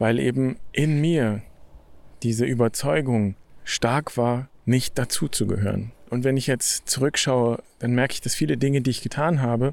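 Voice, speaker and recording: On a very clean recording with a silent background, a man talks at a moderate pace. He has a plain, everyday voice, medium in pitch with ordinary pitch variation. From Germany. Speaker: podcast host, Franciscan friar. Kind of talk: reflective monologue. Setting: outdoors, walking in nature.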